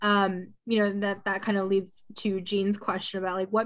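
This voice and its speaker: Against a quiet background, a woman with an American accent uses an ordinary speaking voice at a medium pitch and a fairly quick pace. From Queens, New York; New York. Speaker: student moderator. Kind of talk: moderated conversation. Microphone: video call.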